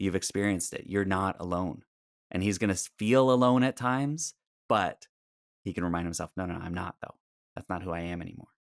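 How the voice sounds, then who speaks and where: This man has a very deep, low pitch and a slight Canadian accent. He talks at a fairly quick pace with ordinary pitch variation, in a dry, close sound with no echo. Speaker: speaking and storytelling coach. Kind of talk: podcast interview.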